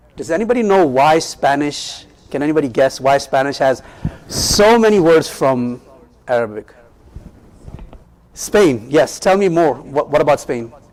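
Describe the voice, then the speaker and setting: With lively intonation and a fairly high pitch, a man talks at a fairly slow pace. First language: Urdu. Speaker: Islamic teacher. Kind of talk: lecture. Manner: interactive, asks audience questions.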